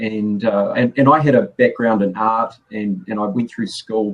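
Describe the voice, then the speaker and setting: The speaker is a man. He has a New Zealand accent. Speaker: graphic designer. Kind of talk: casual chat. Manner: halting, many repeated words.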